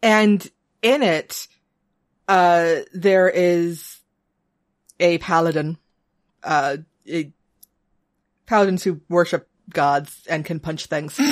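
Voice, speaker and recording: With long, frequent pauses and a very slow pace, a woman of fairly low pitch speaks with ordinary pitch variation. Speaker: podcast co-host. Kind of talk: casual chat.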